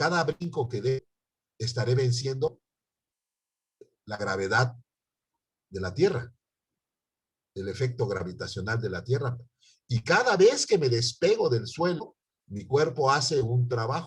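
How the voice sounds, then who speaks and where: Long, frequent pauses break up a man's fairly slow speech. His voice is somewhat breathy, with lively intonation. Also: medium pitch for a man. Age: 60s. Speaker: university chemistry professor. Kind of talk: online lecture.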